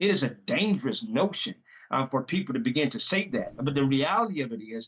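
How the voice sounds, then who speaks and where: A loud man's voice, fairly high in pitch, with very wide pitch swings at a fairly quick pace. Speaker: pastor. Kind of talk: interview.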